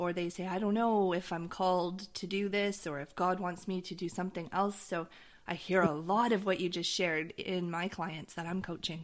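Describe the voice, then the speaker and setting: At a moderate pace, a woman speaks in a plain, everyday voice of medium pitch with fairly even intonation, recorded very cleanly against a silent background. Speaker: podcast host. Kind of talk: interview.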